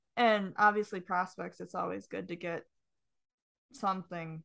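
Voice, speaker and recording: A woman speaks at a fairly slow pace with long, frequent pauses against a quiet background. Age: 20s. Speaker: hockey writer. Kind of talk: casual chat.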